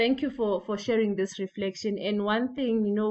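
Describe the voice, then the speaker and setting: This is a woman with an unremarkable speaking voice at a medium pitch. Her intonation stays fairly even. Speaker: breakout group facilitator. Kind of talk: panel discussion moderation.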